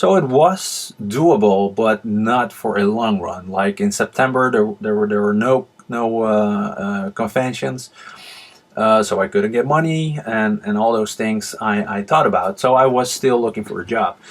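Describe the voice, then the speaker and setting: A man with a Dutch accent speaks at a fairly slow pace with ordinary pitch variation against noticeable background noise. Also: medium pitch for a man. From Netherlands. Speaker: manga artist and channel host. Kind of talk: casual vlog talk. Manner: hesitant, many fillers.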